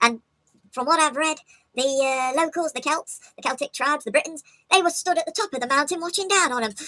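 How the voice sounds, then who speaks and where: Using a squeaky, put-on character voice, a woman speaks fairly quickly at a high pitch with ordinary pitch variation. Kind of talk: informal history talk. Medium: solo performance. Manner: rambling, self-correcting, jokey.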